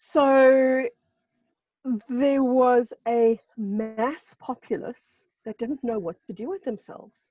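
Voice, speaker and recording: Very slow and high-pitched, a woman's voice carries a dark, mellow tone, ordinary pitch variation and big swings in loudness. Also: dry, close sound with no echo. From South Africa. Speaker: spiritual guest speaker. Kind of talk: casual chat.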